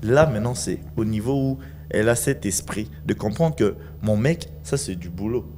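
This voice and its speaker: A man's dark, mellow, somewhat breathy voice at a fairly low pitch, with very wide pitch swings, a fairly slow pace and light background noise. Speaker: film and TV actor; TV actor. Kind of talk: TV talk show; interview answer. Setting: TV studio. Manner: animated. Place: studio. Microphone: handheld.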